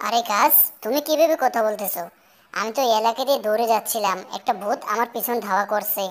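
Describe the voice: Someone speaks in a cartoonish character voice at a moderate pace. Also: female-sounding voice, fairly high pitch for a woman.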